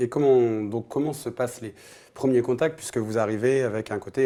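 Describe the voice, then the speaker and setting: Dark and mellow male voice, its intonation fairly even throughout. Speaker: football show host. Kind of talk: interview.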